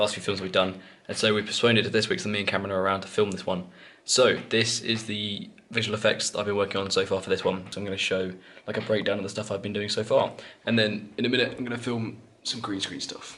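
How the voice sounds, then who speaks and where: A man speaks at a very fast pace with a bright, sharp tone. His pitch is fairly low and his intonation monotone and flat. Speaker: filmmaker vlogger. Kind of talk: casual vlog.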